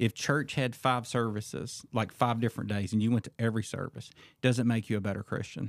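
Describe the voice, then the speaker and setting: With a plain, everyday voice at medium pitch, a man speaks at a fairly quick pace with fairly even intonation, the recording very clean with a silent background and a dry, close sound with no echo. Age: 40s. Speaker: men's ministry leader. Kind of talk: casual chat.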